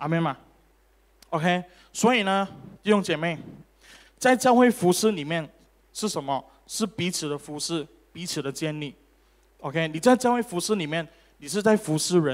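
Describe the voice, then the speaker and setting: A man's high-pitched voice with lively intonation, a moderate pace and long, frequent pauses. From Malaysia. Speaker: preacher. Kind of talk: sermon; preacher in full flow, rousing sermon with crowd call-and-response. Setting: church. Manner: animated, interactive, repeated OK and Amen calls to congregation; fervent, emphatic, urging in full flow. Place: church. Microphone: handheld.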